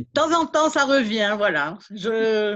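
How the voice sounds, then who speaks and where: Here a woman talks very slowly in a medium-pitched voice with lively intonation. The background is quiet. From Belgium, Liège. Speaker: beekeeper, contest winner. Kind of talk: thank-you speech at online event.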